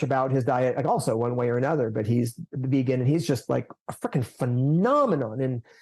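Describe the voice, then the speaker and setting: Someone with an American accent talks over music playing in the background. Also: man. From United States. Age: 60s. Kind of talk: podcast interview. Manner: casual, halting with fillers.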